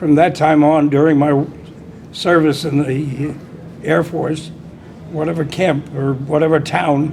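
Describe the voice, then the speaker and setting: Over noticeable background noise and audible room echo, a man with a fairly high voice speaks at a moderate pace in a flat monotone. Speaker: old-time strongman. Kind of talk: interview testimony.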